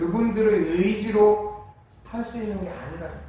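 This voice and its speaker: Amid audible room echo and noticeable background noise, a man talks in a high pitch. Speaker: pastor. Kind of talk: sermon. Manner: conversational, rhetorical questions.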